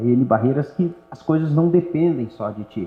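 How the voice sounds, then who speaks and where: Noticeable background noise surrounds a man's fairly high voice. His pitch swings very widely. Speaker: local politician. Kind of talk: interview conversation. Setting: auditorium with live audience.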